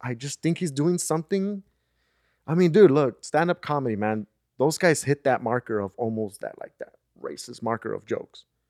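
Speaking with a Spanish accent at a moderate pace, a man uses lively intonation and big swings in loudness. The sound is dry and close, with no echo. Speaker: podcast host. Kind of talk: casual chat.

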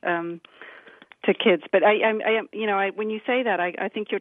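A woman's medium-pitched voice with a British accent, at a moderate pace with ordinary pitch variation. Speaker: author. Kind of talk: casual interview.

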